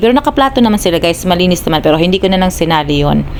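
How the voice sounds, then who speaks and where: Speaking with a Visayan accent, a woman with a fairly low pitch and ordinary pitch variation is heard over noticeable background noise. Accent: Visayan-accented Tagalog. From Philippines, Visayas. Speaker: vlogger. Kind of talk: casual vlog narration.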